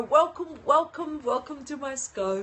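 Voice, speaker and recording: Her pitch rises and falls over a very wide range. The woman has an Australian accent. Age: 60s. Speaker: leadership coach, livestreamer. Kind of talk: live-stream talk to viewers. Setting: live stream from home balcony.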